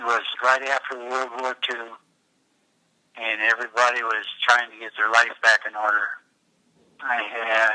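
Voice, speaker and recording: In a dry, close recording with no echo, a man with an American accent speaks at a moderate pace in a flat monotone, pausing long and often. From US Pacific Northwest, Tacoma, Washington. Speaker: coast guard veteran recounting his life. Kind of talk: life story interview. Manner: halting, with fillers and repeats.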